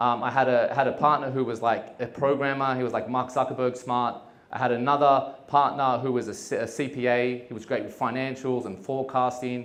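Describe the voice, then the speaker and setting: With an Australian accent, the speaker goes at a fairly quick pace in monotone, flat intonation, with audible room echo. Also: man. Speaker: entrepreneur. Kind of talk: talk to an audience. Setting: stage with audience. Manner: casual, with many fillers.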